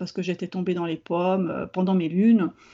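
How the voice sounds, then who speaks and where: Speaking in a medium pitch, a woman keeps a fairly quick pace. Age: 40s. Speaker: therapist. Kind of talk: interview. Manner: halting.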